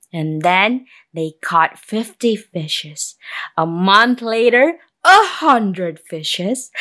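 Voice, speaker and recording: Very clean recording with a silent background, carrying a woman's bright, sharp tone. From Indonesia. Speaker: storyteller. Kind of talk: storytelling performance. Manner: animated, with sound effects.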